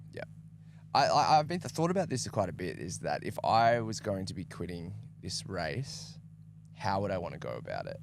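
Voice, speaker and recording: A man with an Australian accent keeps to a moderate pace. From Tasmania, Australia. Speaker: livestream commentator. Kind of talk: live commentary.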